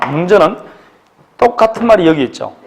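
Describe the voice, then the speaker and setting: A man talks at a high pitch while noticeable background noise carries on behind him. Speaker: law exam lecturer. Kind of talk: lecture. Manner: fast; animated.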